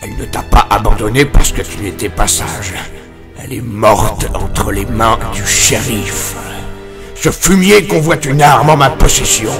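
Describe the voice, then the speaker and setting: Clear music plays in the background as the speech moves at a moderate pace. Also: man, medium pitch for a man. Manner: gruff, verbal tic "oui".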